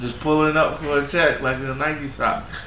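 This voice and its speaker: There is audible room echo and noticeable background noise as a man speaks with an American accent. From New York. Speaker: podcast host. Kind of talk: casual chat. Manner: animated.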